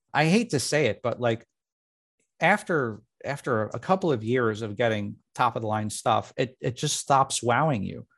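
Speaking at a moderate pace, a man has a normal speaking voice at medium pitch. His intonation is lively. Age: 40s. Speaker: motorcycle journalist. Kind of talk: interview. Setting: video call.

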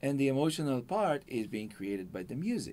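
A fairly high-pitched man with an Israeli accent, at a moderate pace, with very wide pitch swings. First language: Hebrew. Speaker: video game composer. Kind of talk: interview. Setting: studio.

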